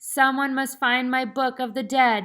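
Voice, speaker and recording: In a very clean recording with a silent background, a woman uses a put-on character voice at a high pitch and a moderate pace. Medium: read story. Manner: formal, archaic, solemn.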